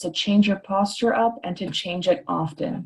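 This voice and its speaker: A woman speaks with a somewhat breathy voice. Her pitch rises and falls in an ordinary way. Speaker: chiropractor. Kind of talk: webinar presentation. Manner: frequent filler ums.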